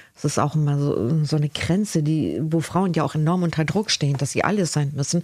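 This woman's voice is very deep and low, with ordinary pitch variation and very even loudness. She talks at a fairly quick pace with hardly any pauses. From northern Germany, Cuxhaven. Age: 50s. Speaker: body and trauma therapist. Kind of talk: interview about her life.

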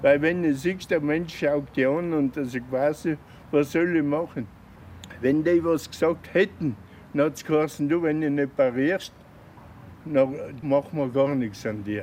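The pace is very slow, with long pauses coming often. Pitch moves in an ordinary way. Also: man. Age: 70s. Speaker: care home resident. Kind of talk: interview. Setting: care home lounge, wearing mask. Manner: halting.

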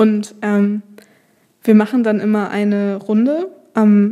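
This woman's fairly high voice has a dark, mellow tone and a flat, monotone intonation. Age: 20s. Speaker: social work student. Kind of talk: casual chat. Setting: studio.

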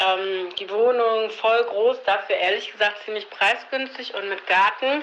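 A woman with a fairly high pitch speaks at a fairly slow pace with hardly any pauses, noticeable background noise behind her. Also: fairly even intonation. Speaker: former classmate, civil servant and mother. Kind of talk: casual chat.

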